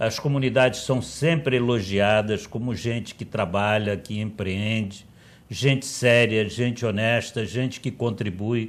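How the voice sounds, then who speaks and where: The speaker goes at a fairly slow pace with fairly even intonation. The recording is very clean, with a silent background. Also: man, medium pitch for a man. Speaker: politician. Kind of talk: TV debate interview.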